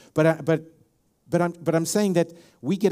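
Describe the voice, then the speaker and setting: A man speaks with a South African accent. His tone is dark and mellow. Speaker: pastor. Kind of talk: sermon. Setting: church.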